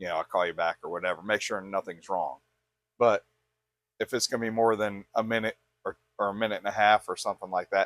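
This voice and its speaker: Over music in the background, a man talks at a fairly quick pace with a fairly low pitch and fairly even intonation, in a dry, close sound with no echo. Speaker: podcast host. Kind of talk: casual chat. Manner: loud.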